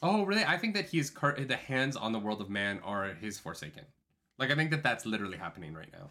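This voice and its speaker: At a very fast pace, a man speaks in a medium pitch with a bright, sharp tone and vocal fry. His pitch swings very widely, and his loudness swings a lot too. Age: 30s. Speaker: book podcast host. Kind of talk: casual chat. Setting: live stream.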